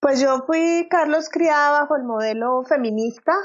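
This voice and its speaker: Fairly slow delivery in an unremarkable speaking voice, with pitch that moves in an ordinary way. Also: woman. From Colombia. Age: 40s. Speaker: personal transformation coach. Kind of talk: interview.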